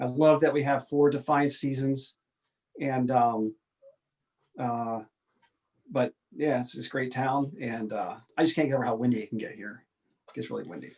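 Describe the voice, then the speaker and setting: A man speaks at medium pitch with fairly even intonation and a moderate pace. His loudness swings widely, and he takes long, frequent pauses. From upstate New York (far north). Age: 40s. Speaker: airline pilot and military reserve officer. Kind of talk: casual interview.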